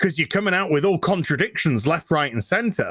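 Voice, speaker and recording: An angry man with a New Zealand accent, high in pitch, at a fairly quick pace and with very wide pitch swings. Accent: New Zealand, heard as British. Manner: ranting, angry.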